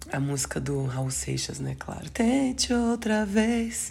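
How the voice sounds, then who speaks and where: A woman's lively intonation, with audible room echo. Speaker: astrology podcaster. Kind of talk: astrology forecast monologue. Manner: halting, self-correcting.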